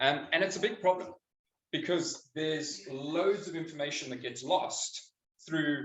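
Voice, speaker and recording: A man with a South African accent, fairly high pitch and a fairly slow pace. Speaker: biokinetics practitioner. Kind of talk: public talk.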